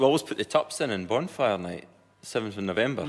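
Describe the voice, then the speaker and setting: In a Scottish accent, a man speaks at a very fast pace. His intonation is lively. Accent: Perthshire. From Scotland, Perthshire. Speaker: comedian and farmer. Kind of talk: comedy panel chat. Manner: loud.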